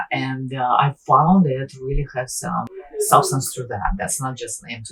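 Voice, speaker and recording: Noticeable background noise runs beneath a woman who speaks fairly slowly. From born in Russia, teens in Ukraine. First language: Russian or Ukrainian. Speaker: teacher. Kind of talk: interview. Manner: halting.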